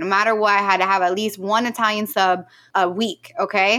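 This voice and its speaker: Bright and sharp in tone, a woman talks at a fairly quick pace with ordinary pitch variation. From Central New Jersey. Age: young. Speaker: entrepreneur. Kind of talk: interview. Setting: studio.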